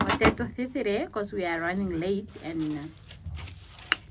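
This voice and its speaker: A woman's fairly low voice under loud background noise. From Namibia. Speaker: vlogger. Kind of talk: casual vlog narration. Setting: outdoors in a village. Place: farm machine. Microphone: phone near.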